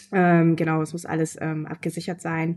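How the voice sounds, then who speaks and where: A woman's fairly low voice has a dark, mellow tone. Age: 20s. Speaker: author and newspaper editor. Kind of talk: interview. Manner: hesitant, many fillers.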